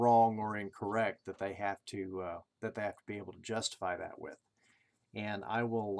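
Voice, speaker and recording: At a moderate pace, a man speaks in a fairly low voice with ordinary pitch variation. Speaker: college instructor. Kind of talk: lecture. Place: home room. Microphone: webcam.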